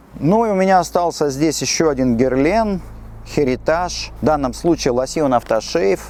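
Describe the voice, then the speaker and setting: There is noticeable background noise behind this voice. A man talks at a moderate pace. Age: 50s. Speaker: perfume store host. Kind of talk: casual monologue on camera. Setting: outdoors on a city street.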